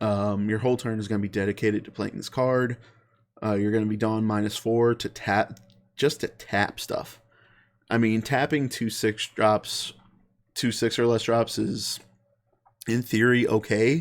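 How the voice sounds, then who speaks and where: A man speaks at a moderate pace in a medium pitch with fairly even intonation. He leaves long, frequent pauses, and the recording is very clean with a silent background. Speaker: card game content creator. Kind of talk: deck profile tutorial. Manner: halting, many fillers and self-corrections; casual.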